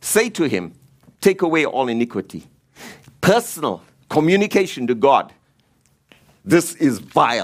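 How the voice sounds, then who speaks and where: With vocal fry and a fairly high pitch, a man swings his pitch very widely and leaves long, frequent pauses. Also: moderate pace. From Africa. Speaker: preacher. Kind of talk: sermon.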